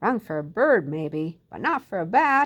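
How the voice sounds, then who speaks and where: A woman's put-on character voice at medium pitch, with very wide pitch swings and a moderate pace. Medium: read story. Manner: blunt, matter-of-fact.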